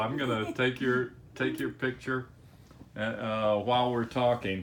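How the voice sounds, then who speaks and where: There is noticeable background noise behind this man. He speaks at a medium pitch and a fairly slow pace. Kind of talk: casual interview questions.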